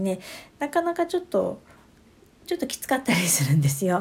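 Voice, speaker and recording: A woman's voice with a dark, mellow tone. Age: 50s. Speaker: astrology adviser podcaster. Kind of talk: casual solo talk. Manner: many fillers, hesitant.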